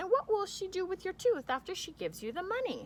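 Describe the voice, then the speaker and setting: A woman puts on a squeaky character voice at an extremely high pitch, with very wide pitch swings. She talks at a very fast pace over light background noise. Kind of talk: bedtime story. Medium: read story. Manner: dry, indulgent.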